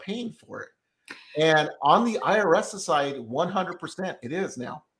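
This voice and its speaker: A man's voice, high in pitch. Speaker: tax consultant podcast host. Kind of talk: casual interview chat. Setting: video call.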